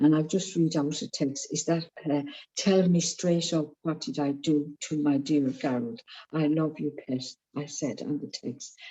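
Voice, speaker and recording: A woman with a very deep, low pitch and ordinary pitch variation, at a fairly slow pace. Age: 70s. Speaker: AA member sharing. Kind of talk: testimony. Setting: video call.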